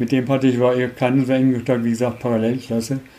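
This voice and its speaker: At a fairly quick pace, a man speaks at medium pitch. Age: 70s. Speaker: former travel scholarship participant. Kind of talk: interview.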